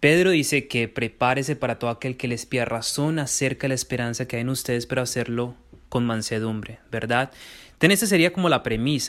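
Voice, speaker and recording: The recording is very clean, with a silent background. A man talks fairly quickly at a medium pitch, with ordinary pitch variation. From Colombia, Medellín. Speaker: theology student and writer. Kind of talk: interview. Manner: articulate.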